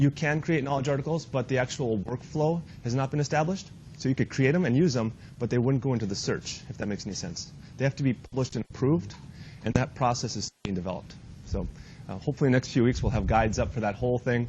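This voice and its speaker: Somewhat breathy, a man of medium pitch talks at a very fast pace with ordinary pitch variation. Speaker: IT trainer. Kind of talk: training workshop.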